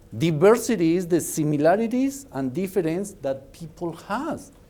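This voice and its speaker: In a Mexican accent, a man with a dark, mellow tone speaks at a moderate pace with very wide pitch swings, and room echo is audible. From Mexico. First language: Spanish. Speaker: business speaker. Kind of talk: lecture. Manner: animated.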